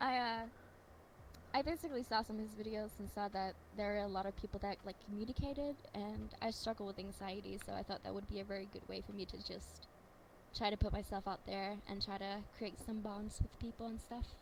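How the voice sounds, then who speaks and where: A woman speaks at a fairly quick pace with a shaky voice. Her pitch is medium and her intonation fairly even. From Denmark. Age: 20s. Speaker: streamer. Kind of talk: interview.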